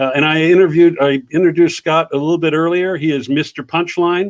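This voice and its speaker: A man talks in a plain, everyday voice. His pace is fairly quick and his intonation fairly even. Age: 60s. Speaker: livestream talk show host. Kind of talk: casual interview chat.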